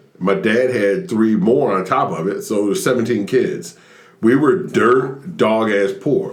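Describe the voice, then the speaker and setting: A man with a Southern US accent, very wide pitch swings, a moderate pace and audible room echo. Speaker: stand-up comedian. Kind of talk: casual chat.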